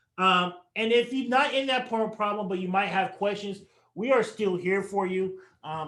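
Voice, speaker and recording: At a moderate pace, a man speaks in an animated, bright, sharp tone with a high pitch and ordinary pitch variation. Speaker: financial advisor. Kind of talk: webinar presentation.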